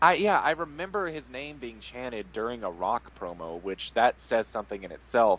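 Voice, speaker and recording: Big swings in loudness, very wide pitch swings and vocal fry mark this man's medium-pitched speech, which has hardly any pauses. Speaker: podcast co-host. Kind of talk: casual chat.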